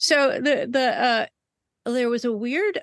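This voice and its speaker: With a plain, everyday voice, a woman talks at a fairly slow pace with ordinary pitch variation, recorded dry and close with no echo against a quiet background. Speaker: singer-songwriter. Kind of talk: casual interview. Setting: video call.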